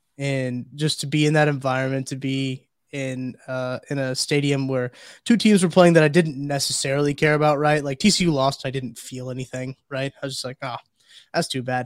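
A man with a normal speaking voice talks at a moderate pace and fairly high pitch, with fairly even intonation. His loudness swings widely in a very clean recording with a silent background. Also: dry, close sound with no echo. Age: 20s. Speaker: podcast producer and Missouri fan. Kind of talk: casual chat.

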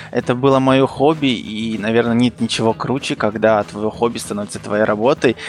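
This man has an unremarkable speaking voice, medium in pitch, moving at a moderate pace with hardly any pauses and ordinary pitch variation. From Kazakhstan. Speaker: illustrator. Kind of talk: casual chat.

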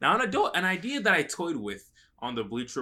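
A man's bright, sharp voice with an American accent at a fairly quick pace. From US South, North Carolina and Atlanta. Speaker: basketball podcast co-host. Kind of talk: casual chat.

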